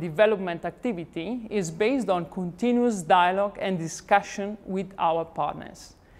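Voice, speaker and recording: A woman talks at a moderate pace in an Italian accent. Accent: Italian accent in English, praised. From Italy. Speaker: company representative, founder's granddaughter. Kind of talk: corporate presentation. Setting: company showroom event. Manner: formal.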